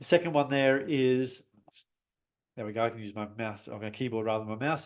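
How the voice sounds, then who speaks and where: The voice moves at a fairly quick pace with ordinary pitch variation and big swings in loudness. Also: man, medium pitch for a man. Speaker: business coach and webinar host. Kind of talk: webinar presentation. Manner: fast; animated.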